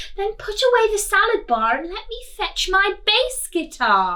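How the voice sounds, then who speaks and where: A woman doing a put-on character voice. Her pitch is extremely high. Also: moderate pace. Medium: read story.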